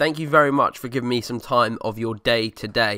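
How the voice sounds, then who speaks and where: A man's medium-pitched voice at a very fast pace, bright and sharp in tone, fairly even in intonation, on a very clean recording with a silent background. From Essex, England. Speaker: car podcast host. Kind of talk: casual solo podcast. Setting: home living room desk. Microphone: new USB desk microphone.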